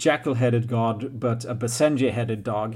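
The voice belongs to a man. It sits at a medium pitch. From Sweden. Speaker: podcast co-host. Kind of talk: casual chat about a tabletop role-playing game. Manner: halting, many fillers.

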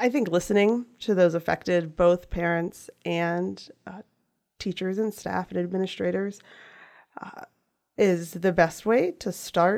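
With an American accent and a plain, everyday voice, a woman of medium pitch speaks at a fairly slow pace with fairly even intonation and big swings in loudness. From US, western Frederick County, Maryland. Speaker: school board candidate, stay-at-home mom. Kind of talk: interview.

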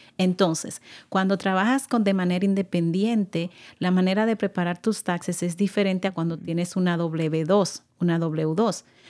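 A woman with a Dominican accent at a moderate pace, fairly even in intonation, in a very clean recording with a silent background. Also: medium pitch for a woman. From Dominican Republic. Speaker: nonprofit services supervisor. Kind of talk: radio interview.

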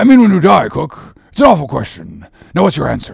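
In a very clean recording with a silent background, a man does a put-on character voice, fairly high for a man, with very wide pitch swings, vocal fry, and a fairly quick pace.

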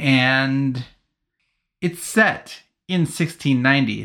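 On a very clean recording with a silent background, a man speaks at medium pitch with a bright, sharp tone and ordinary pitch variation. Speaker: podcast host and author.

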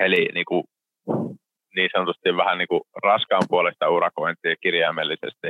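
A man talks at a moderate pace, breaking often into long pauses. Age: 20s. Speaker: construction entrepreneur. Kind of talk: interview.

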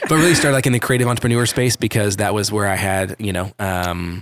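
A man speaks in an American accent with fairly low pitch. His pitch varies ordinarily, and the recording is very clean with a silent background. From Dallas area, Texas. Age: 30s. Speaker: creative entrepreneur. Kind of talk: casual interview chat. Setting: guest's office.

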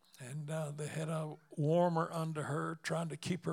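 With a Southern US accent, a man speaks somewhat breathily at a fairly high pitch, going at a fairly slow pace with monotone, flat intonation. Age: 80s+. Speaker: evangelist preacher. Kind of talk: sermon. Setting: church.

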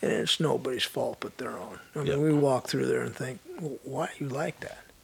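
This man talks with noticeable noise in the background. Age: 60s. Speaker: retired strength and conditioning coach. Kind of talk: casual interview chat.

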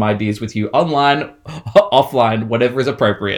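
At a moderate pace, a man with an Australian accent speaks with ordinary pitch variation. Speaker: horror novelist. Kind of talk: casual chat. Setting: remote call.

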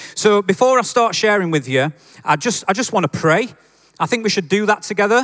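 A man with a Yorkshire accent talks fairly quickly in a high pitch, with lively intonation. His loudness stays very even, and the sound is dry and close with no echo. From Yorkshire, northern England. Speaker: preacher. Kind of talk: sermon. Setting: church with congregation. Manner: informal, friendly.

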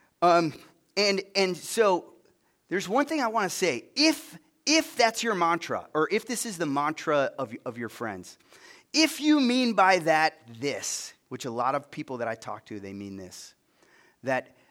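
Very wide pitch swings come at a fairly slow pace in a very clean recording with a silent background. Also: man, big swings in loudness. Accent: western New York. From US, Buffalo suburbs, New York. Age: 50s. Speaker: guest preacher. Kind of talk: sermon. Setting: stage with audience.

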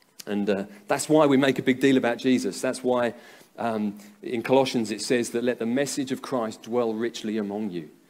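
This man has an English accent and a medium pitch, speaking at a moderate pace with fairly even intonation. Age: 30s. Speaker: pastor. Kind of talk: sermon. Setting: church. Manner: halting.

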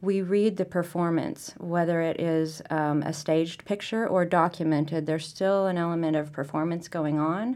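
A woman with a plain, everyday voice speaks at a moderate pace and a fairly low pitch. She hardly pauses at all. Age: 40s. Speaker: photographer. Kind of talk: casual interview. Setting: museum.

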